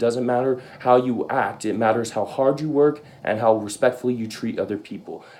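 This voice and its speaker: The pace is fairly quick and the intonation fairly even. It is an unremarkable speaking voice. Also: man. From Arizona (Tucson), born in Canada. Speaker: university student. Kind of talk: class presentation speech.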